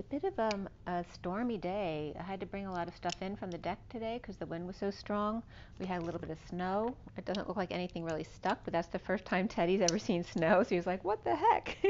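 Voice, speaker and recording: Light background noise runs under a woman's voice. She talks at a very fast pace with ordinary pitch variation. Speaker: tarot reader. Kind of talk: casual spiritual reading chat. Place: home room. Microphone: camera far.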